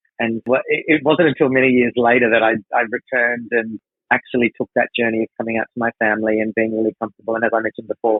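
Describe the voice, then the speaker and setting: Speaking at a very fast pace, a man with an Australian accent holds a medium pitch with monotone, flat intonation. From Australia, Darwin, Northern Territory. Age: 40s. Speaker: drag performer and creative producer. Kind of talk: interview conversation.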